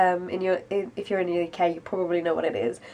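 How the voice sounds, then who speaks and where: A woman speaks with a British accent. Her pitch is medium and her intonation fairly even. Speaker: vlogger. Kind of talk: casual vlog update.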